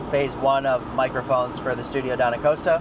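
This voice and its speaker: Over noticeable background noise, a man with an American accent talks in a relaxed tone at a moderate pace, his intonation fairly even. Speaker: music producer and studio owner. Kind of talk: casual vlog explanation. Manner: casual, relaxed.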